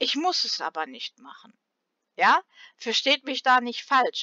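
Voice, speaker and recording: A woman's high voice with very wide pitch swings, at a fairly slow pace. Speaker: gaming YouTuber. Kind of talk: casual vlog talk to viewers.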